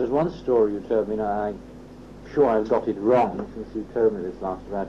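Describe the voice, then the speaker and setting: A man speaks fairly fast as noticeable noise carries on behind him. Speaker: interviewer.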